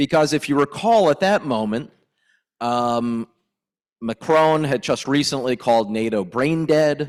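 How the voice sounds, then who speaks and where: A normal speaking voice with an American accent moves at a moderate pace, with ordinary pitch variation. The recording is very clean and dry, close, with a silent background and no echo. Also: man. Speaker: politician. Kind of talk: panel discussion.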